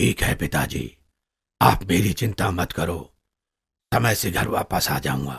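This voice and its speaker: Putting on a raspy, cartoonish character voice, a man speaks at a fairly slow pace with a very deep, low pitch and long, frequent pauses. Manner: proud, assertive.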